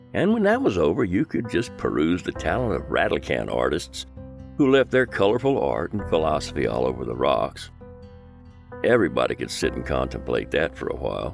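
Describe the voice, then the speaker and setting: Music plays behind a man with a very deep, low pitch. He talks at a fairly quick pace, his pitch swinging very widely. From Southeast Texas. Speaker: voiceover artist. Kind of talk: nostalgic documentary narration.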